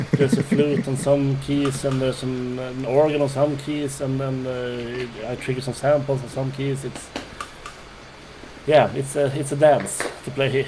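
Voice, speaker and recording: A man speaks fairly slowly at a fairly high pitch, with monotone, flat intonation. Noticeable background noise and audible room echo fill the recording. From Sweden. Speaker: keyboard player. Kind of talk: interview. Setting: video call.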